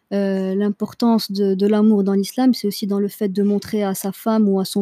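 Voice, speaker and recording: In a very clean recording with a silent background and a dry, close sound with no echo, a woman speaks at a moderate pace with a medium pitch, a dark, mellow tone and monotone, flat intonation. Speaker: podcast host. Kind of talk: casual chat.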